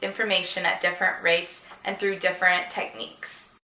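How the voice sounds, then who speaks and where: A woman talks at a very fast pace and a medium pitch with an American accent. Noticeable background noise and audible room echo fill the recording. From US Midwest, Chicago suburbs. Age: 20s. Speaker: job applicant. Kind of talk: job application video monologue.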